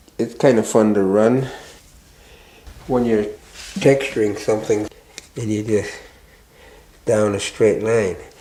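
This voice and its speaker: Noticeable background noise sits behind a man speaking at a fairly slow pace with medium pitch. His intonation is fairly even, broken by long, frequent pauses. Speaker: master carver. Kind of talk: documentary interview.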